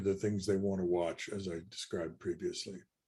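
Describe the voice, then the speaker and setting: A somewhat breathy man at a fairly low pitch, talking at a fairly quick pace with fairly even intonation. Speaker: technical presenter, standards expert. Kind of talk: webinar lecture. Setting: online webinar. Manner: fast; halting, many restarts and fillers.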